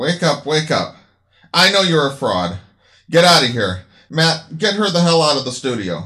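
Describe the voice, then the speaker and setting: Lively intonation from a man with a fairly high, bright, sharp voice, vocal fry, and a moderate pace. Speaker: radio host character voiced in the story. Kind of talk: acted dialogue in a radio show parody.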